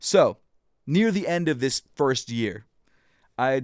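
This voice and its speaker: A man at a medium pitch is heard in a very clean recording with a silent background and a dry, close sound with no echo. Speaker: designer and sneaker YouTuber. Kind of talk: personal storytelling podcast. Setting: podcast recorded on video. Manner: fast talking.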